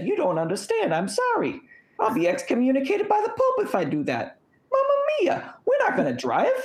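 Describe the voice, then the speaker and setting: Someone performs a put-on character voice in an Italian accent at an extremely high pitch. The pace is fairly quick. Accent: exaggerated Italian. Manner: comic, exaggerated.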